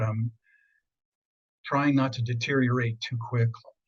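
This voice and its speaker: In an American accent, a somewhat breathy voice speaks at a moderate pace with fairly even intonation. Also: man. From central Pennsylvania. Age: 70s. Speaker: feng shui consultant. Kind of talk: interview.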